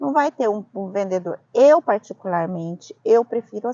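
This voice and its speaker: A woman with a strong Brazilian accent and a fairly high pitch speaks at a fairly slow pace. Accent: strong Brazilian accent in Italian. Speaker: vlogger, immigrant. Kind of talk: casual discussion.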